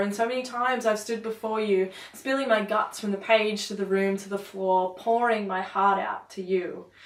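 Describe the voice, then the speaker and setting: There is noticeable background noise behind this recording. A woman speaks in a medium pitch at a moderate pace. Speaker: poet. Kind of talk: spoken word poetry performance.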